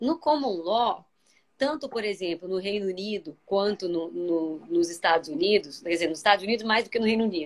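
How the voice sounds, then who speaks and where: A woman speaks in a medium pitch. Her intonation is lively. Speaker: labor judge. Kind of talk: live video discussion. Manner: fast.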